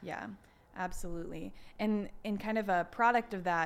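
A woman talks at a moderate pace with ordinary pitch variation. Hers is an unremarkable speaking voice. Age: 20s. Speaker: podcast host. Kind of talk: casual chat.

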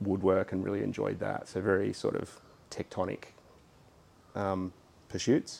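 At a moderate pace, a man with an Australian accent talks at a fairly low pitch. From Sydney, Australia (Hunters Hill). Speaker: architect. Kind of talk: casual interview. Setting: in a shed he designed.

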